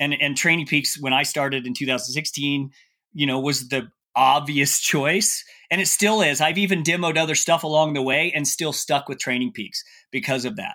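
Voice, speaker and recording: A man's fairly high, bright, sharp voice at a moderate pace with ordinary pitch variation, on a very clean recording with a silent background. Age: 50s. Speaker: ultrarunning coach and athlete. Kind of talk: casual panel discussion.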